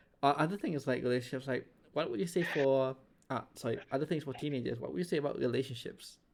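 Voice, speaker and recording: On a very clean recording with a silent background, a man with a fairly high pitch and vocal fry talks at a very fast pace with ordinary pitch variation. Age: 20s. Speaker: podcast host. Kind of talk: casual podcast chat.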